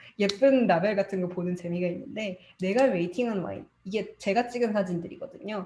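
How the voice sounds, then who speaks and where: A woman talks with hardly any pauses and ordinary pitch variation. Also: medium pitch for a woman, fairly quick pace. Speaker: study group presenter, digital marketer. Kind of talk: presentation. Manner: fast.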